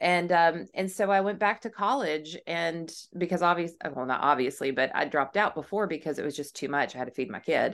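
Speaking at a fairly quick pace with an American accent, a woman has an unremarkable speaking voice, a fairly low pitch and lively intonation against a quiet background. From southern California, then Tennessee. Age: 40s. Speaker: brand consultant. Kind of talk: podcast interview.

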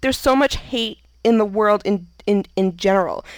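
With lively intonation and a medium pitch, a woman talks through noticeable background noise. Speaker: podcast host. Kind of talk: casual chat.

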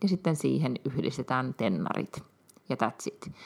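A woman with vocal fry at a fairly slow pace. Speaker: podcast co-host. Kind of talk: casual chat.

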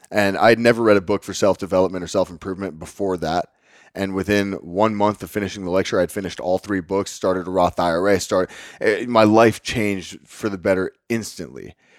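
With an American accent and a normal speaking voice, a man talks at a fairly quick pace and fairly low pitch with fairly even intonation. The very clean recording has a silent background and a dry, close sound with no echo. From Northwest Texas (Lubbock). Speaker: fitness coach. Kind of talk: casual interview.

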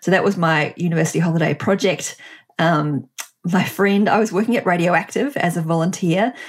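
A woman with a New Zealand accent speaks at a fairly quick pace in a fairly low pitch. Her pitch varies in an ordinary way while her loudness stays very even. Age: 40s. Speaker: entrepreneur and author. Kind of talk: interview conversation.

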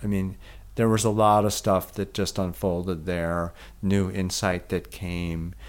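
In a very deep, low pitch, a man with a Midwestern accent talks fairly slowly and in a monotone, flat way on a very clean recording with a silent background. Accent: American Midwestern. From US Midwest, Milwaukee. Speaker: physician and yoga therapist. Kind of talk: interview.

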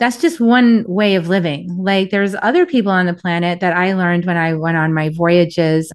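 She is a woman with an unremarkable speaking voice at a medium pitch. Her pace is moderate and her pitch variation ordinary. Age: 50s. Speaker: author. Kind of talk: interview.

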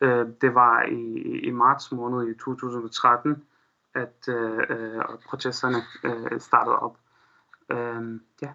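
A man's bright, sharp tone at medium pitch, with an Arabic accent. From Syria, Aleppo. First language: Arabic (speaking Danish). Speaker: Syrian refugee, student. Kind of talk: interview. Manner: halting, many fillers.

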